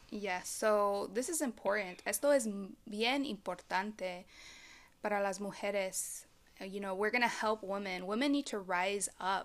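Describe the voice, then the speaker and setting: A woman with a normal speaking voice and an American accent, medium pitch, ordinary pitch variation and moderate pace, in a very clean recording with a silent background. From Texas, Dallas-Fort Worth. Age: 20s. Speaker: podcast host, life coach. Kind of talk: casual chat.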